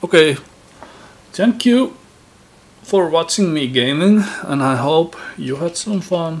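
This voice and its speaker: A high-pitched man with a Finnish accent and lively intonation, very slow pace, long, frequent pauses, and noticeable background noise. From Finland. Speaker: gaming YouTuber. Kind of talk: casual gameplay commentary. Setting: home recording setup. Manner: halting.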